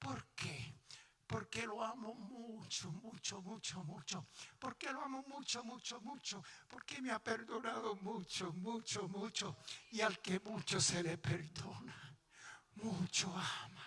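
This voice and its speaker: A man with a high voice projects loudly at a very slow pace, his intonation lively. Noticeable background noise sits behind him. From Puerto Rico. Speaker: pastor. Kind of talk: sermon. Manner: animated, passionate.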